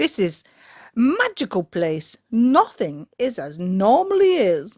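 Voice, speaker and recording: A put-on character voice, female-sounding, with very wide pitch swings. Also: fairly high pitch for a woman, fairly slow pace. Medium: read story. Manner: friendly, laughing.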